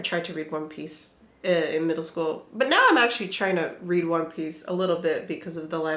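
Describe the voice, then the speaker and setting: A woman's fairly low voice at a fairly quick pace, with audible room echo and noticeable background noise. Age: 20s. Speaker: booktuber. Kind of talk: casual chat. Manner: casual, filler-heavy.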